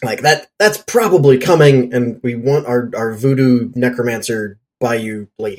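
In a normal speaking voice, a man talks at a medium pitch and a fairly slow pace with hardly any pauses and ordinary pitch variation. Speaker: podcast co-host. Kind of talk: casual chat.

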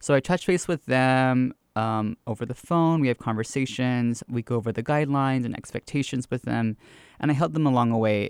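In a very clean recording with a silent background and a dry, close sound with no echo, a man with an American accent uses an unremarkable speaking voice at a fairly quick pace. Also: medium pitch for a man, ordinary pitch variation. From US South, Georgia (Gwinnett County). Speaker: drag queen and storyteller. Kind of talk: interview conversation.

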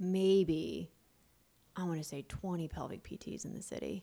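A woman speaks in a fairly low pitch with an unremarkable speaking voice. The recording is very clean with a silent background. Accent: American. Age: 30s. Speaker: pelvic floor physical therapist. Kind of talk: casual interview.

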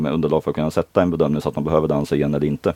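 The man's voice has a dark, mellow tone, heard as a dry, close sound with no echo. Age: 30s. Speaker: dance competition official and maths teacher. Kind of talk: casual interview. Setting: in a caravan.

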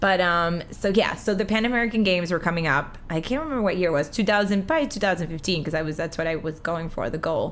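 A woman's ordinary speaking voice, fairly low in pitch, at a fairly quick pace with ordinary pitch variation and hardly any pauses. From Uruguay, moved to US at six. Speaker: amateur marathon runner. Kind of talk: casual chat.

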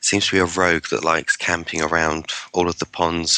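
A man with an English accent and a very deep, low pitch, at a moderate pace, in a dry, close sound with no echo. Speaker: podcast guest, online gamer. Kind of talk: casual chat. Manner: hesitant, many fillers.

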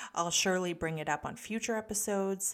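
A woman with a Canadian accent speaks in a plain, everyday voice at a medium pitch with ordinary pitch variation. Her moderate pace comes through in a very clean recording with a silent background. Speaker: podcast host and developing psychic medium. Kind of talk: casual solo podcast talk.

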